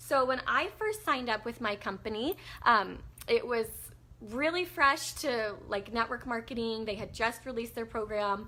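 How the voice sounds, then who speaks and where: A woman talks at a moderate pace with a fairly high pitch. Her tone is bright and sharp, and her pitch varies an ordinary amount. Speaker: network marketing team leader. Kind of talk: casual talk to camera.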